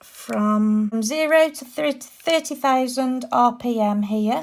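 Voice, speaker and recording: A high-pitched woman's voice with a British accent and ordinary pitch variation, on a very clean recording with a silent background. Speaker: nail art youtuber. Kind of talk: product review to camera. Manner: upbeat.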